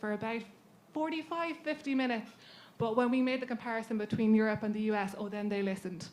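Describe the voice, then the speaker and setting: The pace of this woman's speech is very fast. She pitches her voice fairly high. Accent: Irish. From Ireland. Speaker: patient advocacy leader. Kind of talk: panel talk.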